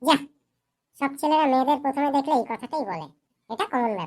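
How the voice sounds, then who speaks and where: A woman uses a cartoonish character voice, high-pitched, with lively intonation at a fairly quick pace. The recording is very clean, with a silent background. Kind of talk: comic cartoon acting. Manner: tart, quick retorts.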